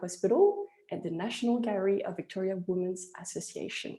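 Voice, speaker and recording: A woman with a strong French accent talks at a moderate pace. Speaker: webinar host, investment platform founder. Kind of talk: webinar introduction. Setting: online webinar.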